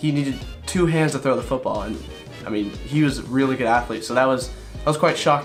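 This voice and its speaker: With music in the background, a man talks in fairly even intonation. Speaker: vlogger. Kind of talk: personal vlog narration.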